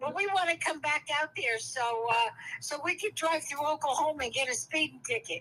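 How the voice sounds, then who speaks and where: A woman's raised, projected voice, bright and sharp in tone, with lively intonation at a moderate pace. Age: 70s. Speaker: host's mother. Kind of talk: casual chat.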